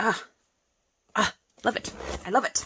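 The woman's tone is animated as she talks. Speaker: crafting video creator. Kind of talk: casual unboxing chat.

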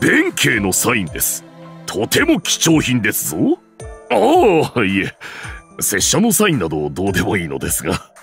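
Over faint background music, a man puts on a character voice at a medium pitch and a moderate pace. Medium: dub. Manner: formal, polite.

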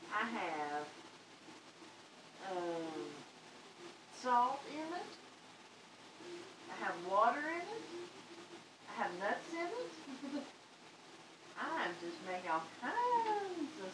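The speech moves at a very slow pace, with long, frequent pauses and big swings in loudness. Background noise is noticeable. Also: woman. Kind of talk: casual vlog chat. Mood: light, laughing. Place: kitchen. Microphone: camera far.

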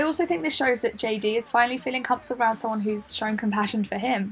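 There is noticeable background noise as this woman talks. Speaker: university student. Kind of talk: video essay narration.

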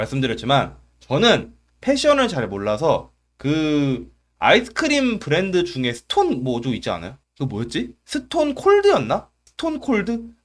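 A man speaking at a fairly slow pace in an animated tone, on a very clean recording with a silent background. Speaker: YouTube commentator. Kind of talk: comedic commentary monologue.

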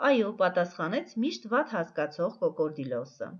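A woman is talking. Her voice has vocal fry. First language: Armenian (speaking Russian). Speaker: teacher. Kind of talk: tutorial; reading aloud. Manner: slow.

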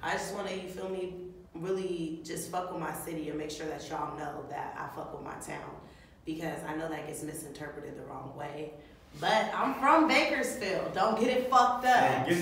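A woman speaks at a moderate pace with a fairly low pitch and lively intonation. The room echo is strong, and there is light background noise. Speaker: vlogger, comedian. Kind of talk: casual slang, profane. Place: home room. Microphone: camera far.

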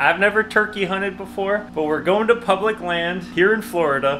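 A man speaks at a moderate pace while faint music sits in the background. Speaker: outdoor vlogger. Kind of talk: casual vlog chat. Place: garage. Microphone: phone near.

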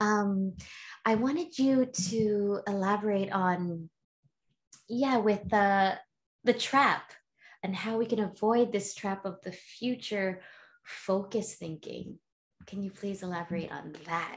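A woman speaking at a very slow pace, with long, frequent pauses. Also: ordinary pitch variation. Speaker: podcast host and healer. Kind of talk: casual interview chat. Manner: animated. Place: home room.

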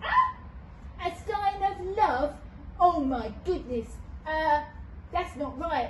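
A female-sounding cartoonish character voice, extremely high-pitched, speaks at a very slow pace with long, frequent pauses over clear background noise. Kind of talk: children's puppet skit. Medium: puppet. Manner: warm, reassuring.

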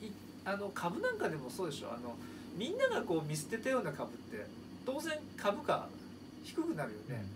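A man keeps a moderate pace while noticeable background noise sounds around him. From Japan. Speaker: seminar lecturer, company president. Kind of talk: lecture. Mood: warm, smiling. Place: office. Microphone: phone near.

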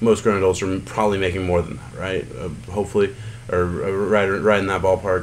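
This man speaks in a very deep, low pitch with ordinary pitch variation. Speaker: football podcaster. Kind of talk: angry rant, profane and ranting against a football player. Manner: exasperated, indignant, heated, stop-start repetition.

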